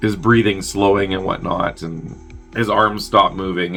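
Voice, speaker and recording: There is music in the background as a man speaks with a fairly low pitch. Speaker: movie reviewer. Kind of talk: movie plot synopsis. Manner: casual, chatty.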